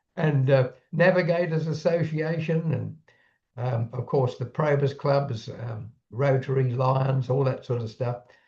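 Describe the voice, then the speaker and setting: Speaking fairly slowly with an Australian accent, a man has a fairly high, somewhat breathy voice with a dark, mellow tone and ordinary pitch variation. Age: 80s+. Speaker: retired public speaker and YouTuber. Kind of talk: casual chat.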